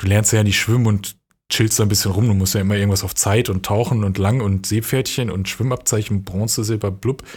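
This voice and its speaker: On a very clean recording with a silent background, a man talks at a very fast pace. His voice is fairly low and somewhat breathy, with fairly even intonation. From western Germany, near Dortmund (NRW). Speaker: podcast co-host. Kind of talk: casual chat.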